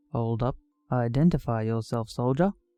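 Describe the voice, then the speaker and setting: A man drawls in a put-on character voice at medium pitch and a moderate pace. Music plays in the background. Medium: read story. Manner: drawling, slow.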